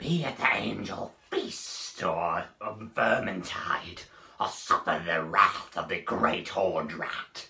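Raspy speech comes at a very slow pace. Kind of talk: comic overacting, voice test. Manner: proclaiming, then snarling.

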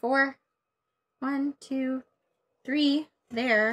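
A woman speaks at a high pitch. Her tone is playful. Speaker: board game player. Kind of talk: live board game play. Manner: playful, laughs often. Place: home room.

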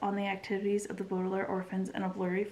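Just an unforced reading voice

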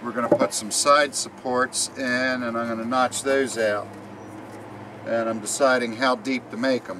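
A man talks at a fairly slow pace. Light background noise can be heard. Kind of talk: tutorial. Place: garden. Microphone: camera far.

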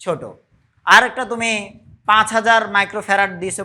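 Bright, sharp tone in a raised, projected voice. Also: man. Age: middle-aged. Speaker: physics teacher. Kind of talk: lecture. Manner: conversational, frequent checking questions.

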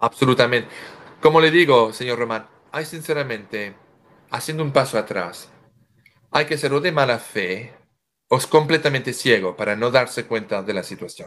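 Over a quiet background, a man of medium pitch talks at a moderate pace with long, frequent pauses. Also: ordinary pitch variation. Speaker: guest commentator. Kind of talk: interview conversation. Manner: halting, frequent self-corrections. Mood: earnest, firm. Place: home room. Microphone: video call.

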